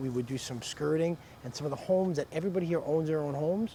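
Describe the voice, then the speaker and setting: With an American accent, a man talks very fast in a fairly high voice that shows ordinary pitch variation. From New York. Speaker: real estate investor. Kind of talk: casual explanation to camera.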